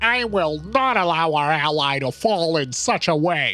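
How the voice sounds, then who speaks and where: With faint music in the background, a man uses a put-on character voice at a fairly high pitch, keeping a very even loudness and a moderate pace. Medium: read story. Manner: smug, lecturing.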